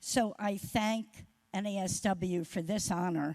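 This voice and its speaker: A woman's voice of medium pitch. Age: 70s. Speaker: award recipient, social work organization leader. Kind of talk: acceptance speech.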